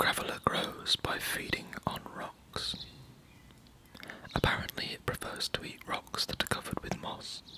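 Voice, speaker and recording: Over noticeable background noise, a man with a British accent whispers at a fairly slow pace. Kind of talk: ASMR reading. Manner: whispered.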